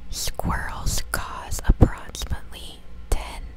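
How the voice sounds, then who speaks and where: Whispering comes from a woman. She keeps a fairly slow pace. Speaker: ASMR creator. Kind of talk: ASMR fact reading. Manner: whispered; soft, close to the microphone. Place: home room. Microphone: lapel.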